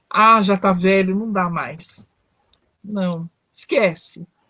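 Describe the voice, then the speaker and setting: A woman's somewhat breathy, medium-pitched voice with fairly even intonation, in a dry, close sound with no echo. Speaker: psychologist. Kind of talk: live talk on psychology. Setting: online live stream. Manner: conversational, with fillers and self-corrections.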